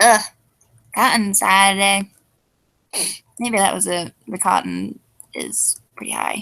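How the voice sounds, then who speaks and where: A woman's very slow speech, broken by long, frequent pauses. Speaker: video reviewer. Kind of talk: casual live stream chat. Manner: less peppy than usual.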